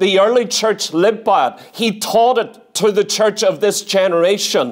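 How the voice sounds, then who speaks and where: Against a quiet background, a man with a high pitch talks at a fairly slow pace with ordinary pitch variation. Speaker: preacher. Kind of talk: sermon. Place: church. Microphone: lapel.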